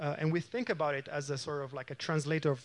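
A man with an Italian accent speaks at a very fast pace in a fairly high pitch against a quiet background. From Italy. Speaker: aging researcher. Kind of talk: lecture.

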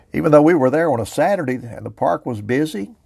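A man with an American accent talks at a fairly quick pace, with vocal fry. His pitch swings very widely. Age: 70s. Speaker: outdoors podcast host. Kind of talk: casual monologue.

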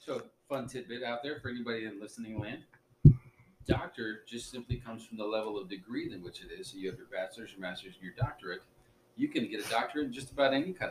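A man talks at a very fast pace with big swings in loudness. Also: medium pitch for a man, ordinary pitch variation. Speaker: podcast co-host. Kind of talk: casual chat. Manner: serious, formal, careful word choice.

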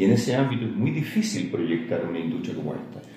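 Speech at a fairly quick pace, with audible room echo around it. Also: man. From Chile, Santiago. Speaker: veterinarian and lab company director. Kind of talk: interview. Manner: hesitant, filler-heavy.

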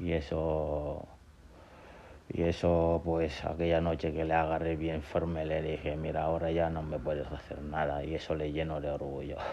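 Amid audible room echo, a man speaks in a very deep, low voice with monotone, flat intonation. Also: moderate pace. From Gambia and Senegal. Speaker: podcaster telling life story. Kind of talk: personal testimony. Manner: halting.

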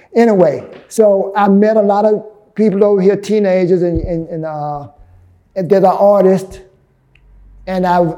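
Speaking with an American accent, a man with a high pitch and a dark, mellow tone talks at a fairly slow pace with fairly even intonation. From US South, Birmingham, Alabama. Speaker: artist and gallery owner. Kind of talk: interview. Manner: halting, many fillers and restarts.

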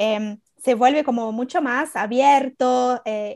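Speaking very slowly with fairly even intonation, a woman with a high-pitched voice is heard in a dry, close recording with no echo. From Brazil. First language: Portuguese (speaking Spanish). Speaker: writer. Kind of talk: casual interview chat. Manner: halting, many fillers.

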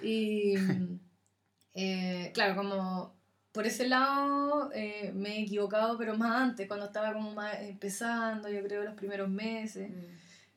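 A woman's fairly high, fairly even voice in a Chilean accent at a fairly slow pace. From Chile, Curicó. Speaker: amateur runner. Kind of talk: casual chat.

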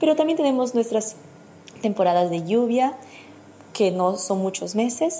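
A woman talks at a fairly slow pace. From Peru. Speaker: listener sending voice message. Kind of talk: recorded voice message.

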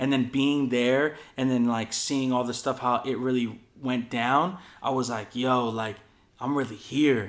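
A man talks at a fairly slow pace in a medium pitch. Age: 20s. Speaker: podcast host and skate filmer. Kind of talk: casual chat. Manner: animated.

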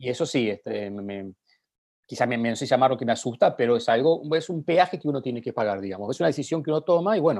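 A man talks very fast, his intonation full of life. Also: medium pitch for a man, quiet background. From Argentina. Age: 40s. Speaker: journalist. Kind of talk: casual interview.

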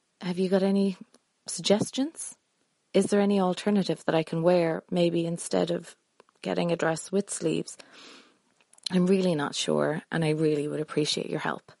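A woman with an Irish accent, a fairly low pitch and a dark, mellow tone speaks at a moderate pace, with fairly even intonation and long, frequent pauses. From Ireland (Dublin). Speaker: engaged bride-to-be, listener. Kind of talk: recorded voice message question.

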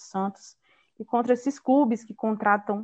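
Over a quiet background, a woman with a plain, everyday voice talks at a moderate pace with fairly even intonation. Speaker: podcast host, journalist. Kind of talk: casual chat.

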